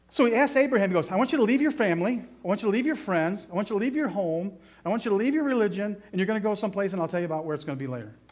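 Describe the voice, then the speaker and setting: A man's high-pitched voice at a very fast pace, with very wide pitch swings. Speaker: Bible teacher. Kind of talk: sermon. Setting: church. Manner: witty, animated. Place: church. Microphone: podium.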